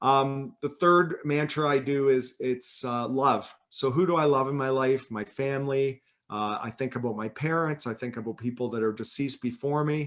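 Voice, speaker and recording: A man with a normal speaking voice, medium pitch and moderate pace. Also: fairly even intonation. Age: 50s. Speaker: author and health company president. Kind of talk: casual interview on a live session. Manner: relaxed, conversational.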